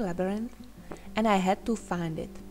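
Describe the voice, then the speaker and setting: A woman with a Czech accent at a moderate pace. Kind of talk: personal digital story narration.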